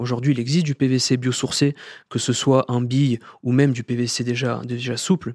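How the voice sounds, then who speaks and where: A man with a southern French accent speaks at a moderate pace in a flat, monotone delivery, his pitch medium and the sound dry and close with no echo. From southern France, Sète. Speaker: corporate sustainability director. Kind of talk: interview.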